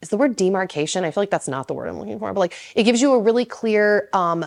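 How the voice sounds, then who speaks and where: Recorded very cleanly against a silent background, a woman speaks with ordinary pitch variation in a dry, close sound with no echo. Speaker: lifestyle YouTuber. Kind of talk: Q&A monologue. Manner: fast; casual, filler-heavy.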